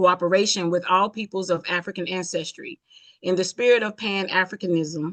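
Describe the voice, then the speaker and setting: In a plain, everyday voice, a woman of medium pitch talks at a fairly quick pace with fairly even intonation, recorded dry and close with no echo. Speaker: round table participant. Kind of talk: reading aloud.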